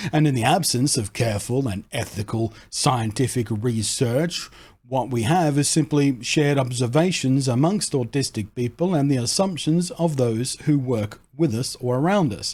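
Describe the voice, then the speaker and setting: On a very clean recording with a silent background, a man speaks at a moderate pace with hardly any pauses, his medium-pitched voice somewhat breathy with ordinary pitch variation. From Australia. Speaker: content creator. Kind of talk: casual talk to camera.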